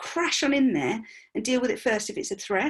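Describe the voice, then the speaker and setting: A woman talks in a high voice with lively intonation. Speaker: money mindset coach. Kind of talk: online workshop presentation. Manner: fast.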